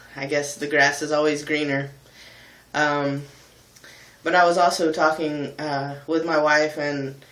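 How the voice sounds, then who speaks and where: A man speaks at a fairly slow pace in a fairly high, monotone voice, leaving long, frequent pauses. Room echo is audible. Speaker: vlogger and musician. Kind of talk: personal vlog monologue. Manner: halting, many ums.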